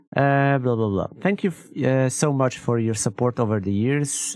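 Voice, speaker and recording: Speaking with a non-native accent, a man uses a medium pitch and ordinary pitch variation. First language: not English. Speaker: gaming streamer. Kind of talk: reading and reacting to a blog post. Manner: halting, with many restarts and fillers.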